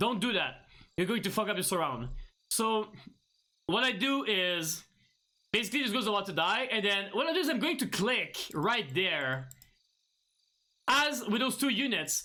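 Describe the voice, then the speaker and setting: Using a raised, projected voice with very even loudness and a bright, sharp tone, a man speaks at a moderate pace in a high pitch with very wide pitch swings and long, frequent pauses. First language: not English. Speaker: gaming streamer; gamer, streamer. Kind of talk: tutorial. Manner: halting, many fillers and restarts. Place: home room.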